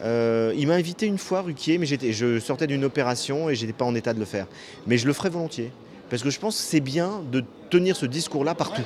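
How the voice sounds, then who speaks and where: Over noticeable background noise, a man talks fairly quickly in a fairly high voice with lively intonation. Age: 50s. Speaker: author. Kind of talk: interview. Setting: hotel bar.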